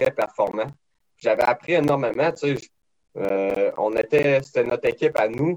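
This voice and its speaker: Delivered at a fairly slow pace, the speech has a dry, close sound with no echo. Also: man. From Quebec, Beauce region. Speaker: race car driver. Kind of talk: interview.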